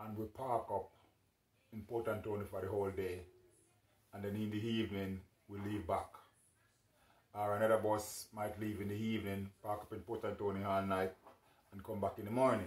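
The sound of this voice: Amid audible room echo, a man with a fairly low pitch speaks at a moderate pace with little pitch movement and long, frequent pauses.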